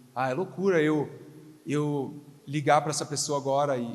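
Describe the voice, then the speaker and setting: Room echo is audible and background noise noticeable as a man speaks at a fairly high pitch. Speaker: pastor. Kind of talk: sermon. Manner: not shouting, calm.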